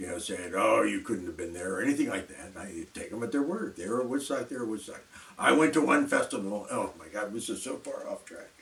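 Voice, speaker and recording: Over noticeable background noise, a man talks at a very fast pace, his loudness swinging widely. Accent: American. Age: 70s. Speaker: video blogger. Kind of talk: casual monologue. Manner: halting.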